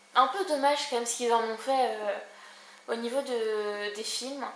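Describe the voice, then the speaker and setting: Amid noticeable background noise and audible room echo, a woman speaks high-pitched with ordinary pitch variation. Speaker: book vlogger. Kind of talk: casual book review vlog. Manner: fast.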